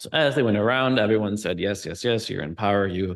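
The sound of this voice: The speaker reads in an unforced reading voice with ordinary pitch variation.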